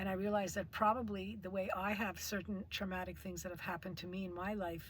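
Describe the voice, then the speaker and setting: At a fairly quick pace, a woman with a medium pitch speaks in a monotone, flat intonation that is somewhat breathy. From Quebec (Montreal). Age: 60s. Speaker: artist. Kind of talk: testimony. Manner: halting.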